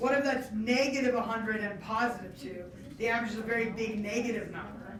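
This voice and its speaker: A woman talks at a fairly quick pace with a fairly high pitch. Noticeable background noise and audible room echo fill the recording. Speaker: test prep teacher. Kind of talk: classroom lecture. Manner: fast.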